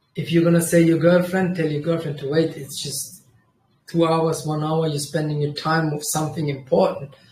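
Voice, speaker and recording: Audible room echo surrounds a man who speaks with a Kurdish accent at a fairly high pitch. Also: moderate pace. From Germany. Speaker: trading livestreamer. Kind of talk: casual livestream chat. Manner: animated; halting.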